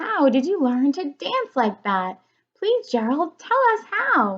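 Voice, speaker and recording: A woman performs a put-on character voice at a high pitch. Her pitch swings very widely at a fairly slow pace. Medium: read story.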